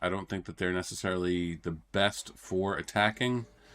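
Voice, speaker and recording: The man talks at a fairly slow pace. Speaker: gaming commentator. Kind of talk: gameplay commentary. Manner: casual, many fillers.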